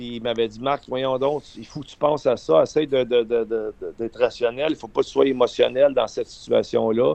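Talking at a fairly quick pace with hardly any pauses, a man swings widely in loudness. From Quebec, Eastern Townships (Windsor). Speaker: former hockey player and coach. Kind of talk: radio interview.

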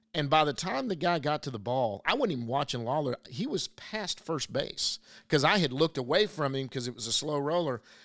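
A man with an American accent, lively intonation and a fairly quick pace, on a very clean recording with a silent background. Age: 50s. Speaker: podcast host and baseball blogger. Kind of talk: casual chat.

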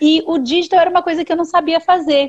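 A woman talks at a moderate pace in a dry, close sound with no echo. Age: 40s. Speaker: digital communication specialist. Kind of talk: live interview. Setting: online video livestream.

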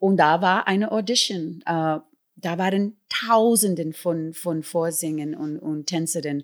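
The speech moves at a very slow pace with ordinary pitch variation, captured in a very clean recording over a silent background. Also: woman, fairly low pitch for a woman. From New York City, South Bronx (Puerto Rican family). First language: English (speaking German). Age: 60s. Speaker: musical performer and singer. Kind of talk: interview.

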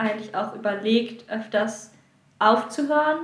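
A woman with a fairly high pitch speaks at a fairly slow pace. Audible room echo surrounds her voice. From northern Germany (Lower Saxony, near Hamburg/Bremen). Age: 20s. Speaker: contemporary dancer. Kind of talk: interview. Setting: recorded in Sardinia.

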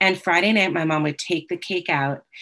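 In a plain, everyday voice, a woman talks at a moderate pace at a fairly low pitch with ordinary pitch variation. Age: 50s. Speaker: 12-step meeting speaker, teacher. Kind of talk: testimony. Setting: video call.

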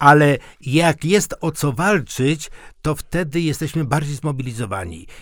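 On a very clean recording with a silent background, a man speaks in an unremarkable speaking voice. His pitch is fairly high with ordinary variation, and his pace is fairly slow. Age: 60s. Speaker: podcast co-host. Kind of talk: casual discussion. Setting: radio studio.

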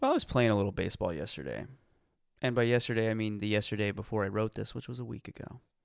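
A man's fairly low voice at a very fast pace with ordinary pitch variation, in a very clean recording with a silent background. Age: 30s. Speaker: comedy podcast co-host. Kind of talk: casual chat.

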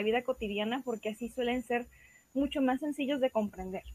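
A woman's high pitch at a moderate pace, with ordinary pitch variation. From Mexico, Guadalajara, Jalisco. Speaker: writer and visual artist. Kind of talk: explanatory talk. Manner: halting.

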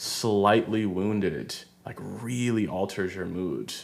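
A man speaks with a fairly low pitch. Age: 20s. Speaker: podcast host. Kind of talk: casual chat. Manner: halting, many fillers.

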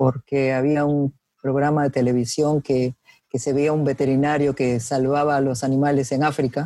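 Speaking at a fairly slow pace, a woman has a dark, mellow tone in a dry, close recording with no echo. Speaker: biologist. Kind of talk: interview.

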